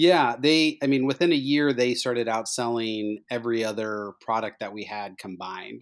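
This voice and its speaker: A man with an American accent uses an ordinary speaking voice at a medium pitch and a moderate pace, with ordinary pitch variation, on a very clean recording with a silent background. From Indiana, US. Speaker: distillery co-founder. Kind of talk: casual podcast interview.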